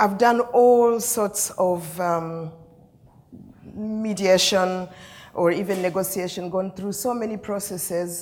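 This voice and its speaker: Fairly slow speech from a woman at a medium pitch, ordinary pitch variation, audible room echo in the space. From Uganda. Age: 60s. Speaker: peace mediator. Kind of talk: keynote speech. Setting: conference stage with audience. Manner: storytelling, conversational.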